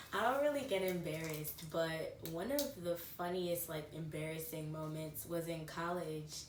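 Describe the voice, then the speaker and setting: A woman speaks with a very deep, low voice at a fairly slow pace. Audible room echo and noticeable background noise are present. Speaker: lifestyle vlogger. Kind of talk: casual chat. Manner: animated.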